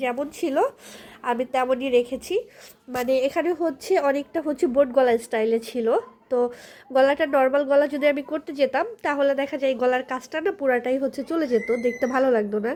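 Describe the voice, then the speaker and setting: High female voice, pitch varying in an ordinary way. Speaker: vlogger. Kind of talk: casual vlog talk to viewers.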